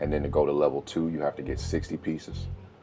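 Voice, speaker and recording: A man speaks with a very deep, low pitch while music plays in the background. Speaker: gaming YouTuber. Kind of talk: game tutorial voice-over. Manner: casual.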